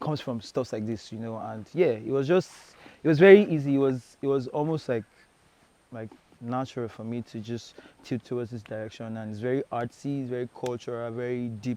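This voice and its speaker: With a Nigerian accent, a man talks at a fairly quick pace in a dark, mellow tone. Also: medium pitch for a man, ordinary pitch variation, big swings in loudness. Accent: Nigerian (Yoruba) English. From Nigeria, Badagry (Lagos). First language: Yoruba. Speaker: singer-songwriter. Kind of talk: interview.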